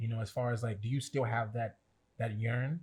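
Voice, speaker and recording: A man with a fairly low pitch and a somewhat breathy voice, talking very fast in a monotone, flat delivery. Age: 30s. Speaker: podcast co-host. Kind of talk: casual chat.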